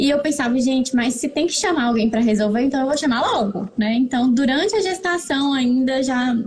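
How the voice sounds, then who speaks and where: A high-pitched woman with ordinary pitch variation, over noticeable background noise. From Brazil, northern Minas Gerais (Montes Claros). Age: 30s. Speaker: pharmacist and mother sharing experience. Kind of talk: interview, personal testimony. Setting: live stream.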